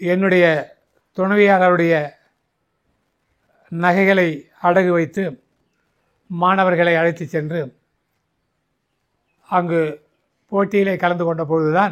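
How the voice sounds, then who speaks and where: Intonation stays monotone and flat. The man's pitch is high. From Tamil Nadu, India. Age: 80s+. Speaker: retired physical education teacher and Mallakhamb coach. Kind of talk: interview answer. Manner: clear, composed.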